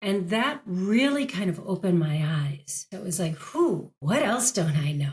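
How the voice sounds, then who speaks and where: A somewhat breathy woman with an American accent, at a fairly slow pace with hardly any pauses and very wide pitch swings. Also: medium pitch for a woman. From United States. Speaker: actress and career coach. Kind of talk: interview.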